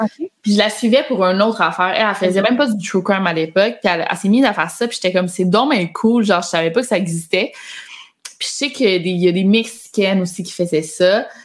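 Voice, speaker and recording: A woman talks very fast while noticeable background noise carries on. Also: medium pitch for a woman, ordinary pitch variation. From Quebec. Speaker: YouTuber and author. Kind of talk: casual chat.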